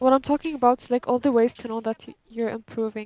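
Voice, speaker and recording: Speaking at a moderate pace with a non-native accent, a woman uses a fairly high pitch and fairly even intonation in a dry, close sound with no echo. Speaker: gamer. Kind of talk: casual chat.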